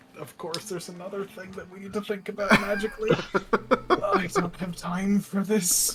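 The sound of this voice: A man puts on a character voice with a high pitch, talking at a moderate pace amid clear background noise.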